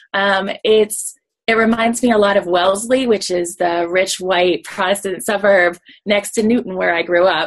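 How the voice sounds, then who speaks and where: A woman speaks in a normal speaking voice at a medium pitch and fairly slow pace, with ordinary pitch variation. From US Northeast, suburban Boston. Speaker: psychologist. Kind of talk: interview.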